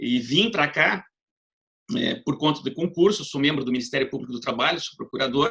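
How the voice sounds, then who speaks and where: Man with a southern Brazilian accent, fairly high in pitch, bright and sharp in tone, with lively intonation at a moderate pace. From southern Brazil, Paraná. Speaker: law professor. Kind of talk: lecture. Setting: video call.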